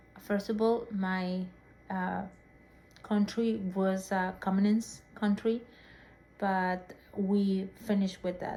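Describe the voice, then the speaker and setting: Very slow and somewhat breathy, the voice has a dark, mellow tone. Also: woman. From northern Peru, Chiclayo. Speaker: interviewee, family member. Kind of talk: casual interview. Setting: at home. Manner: halting.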